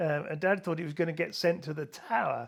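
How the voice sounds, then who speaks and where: In an English accent, a man speaks at a moderate pace with a fairly high pitch. The recording is very clean, with a silent background. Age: 70s. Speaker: author. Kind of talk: interview.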